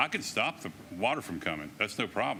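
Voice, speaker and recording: With a Southern US accent, a man talks at a fairly quick pace in a bright, sharp tone. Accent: US South. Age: 70s. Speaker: resident making public comment. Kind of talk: public comment.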